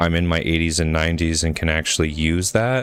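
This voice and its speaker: Noticeable background noise sits behind a man's very deep, low voice. He speaks at a fairly quick pace. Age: 30s. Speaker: video game streamer. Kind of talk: casual live stream gameplay chat. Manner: casual, rambling with fillers and repeats.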